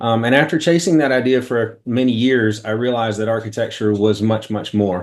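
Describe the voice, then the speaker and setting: At a fairly quick pace, a man with an American accent talks at a medium pitch with ordinary pitch variation. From Carroll County, US. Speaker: architect. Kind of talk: webinar presentation. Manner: fast.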